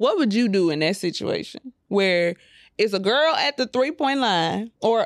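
In a very clean recording with a silent background and a dry, close sound with no echo, a woman uses an ordinary speaking voice at medium pitch with lively intonation. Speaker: podcast co-host. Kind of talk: casual chat.

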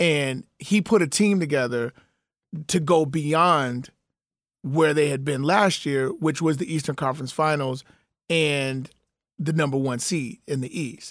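The speaker talks at a fairly slow pace with ordinary pitch variation on a very clean recording with a silent background. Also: man, fairly high pitch for a man. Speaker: sports podcast host. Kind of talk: casual banter. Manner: animated, talkative.

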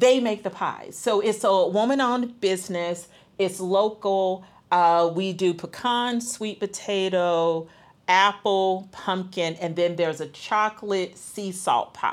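In a very clean recording with a silent background, a woman with an American accent has a plain, everyday voice, medium in pitch with ordinary pitch variation. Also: fairly slow pace. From US South, Atlanta. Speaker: nonprofit volunteer director. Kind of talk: casual interview chat.

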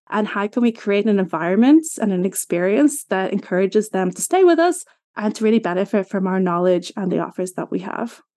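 A dark, mellow tone in an Irish accent moves at a fairly quick pace with lively intonation and hardly any pauses. The background is quiet. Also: woman, medium pitch for a woman. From Ireland. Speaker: customer journey strategist. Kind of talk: interview.

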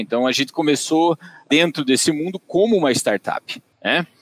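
With a dry, close sound and no echo, a man speaks with ordinary pitch variation. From Brazil, Tatuí (São Paulo interior). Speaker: agronomist and digital business director. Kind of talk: podcast interview. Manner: hesitant, many fillers.

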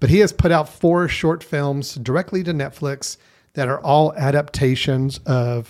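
This man has a normal speaking voice, fairly high in pitch, with ordinary pitch variation. He speaks at a fairly slow pace on a very clean recording with a silent background. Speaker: film podcast host. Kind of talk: casual chat.

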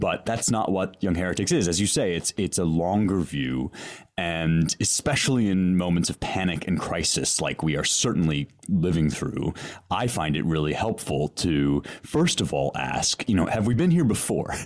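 A booming man's voice, very deep and low in pitch, moves at a moderate pace with lively intonation. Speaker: podcast host and classics scholar. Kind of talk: casual intellectual interview. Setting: remote audio call with headphones.

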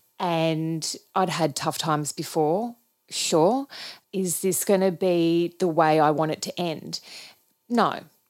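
Speaking in an Australian accent, a woman talks at a very slow pace and fairly low pitch with ordinary pitch variation. The recording is very clean, with a silent background. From Australia, regional Victoria. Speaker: ballet choreographer. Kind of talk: interview.

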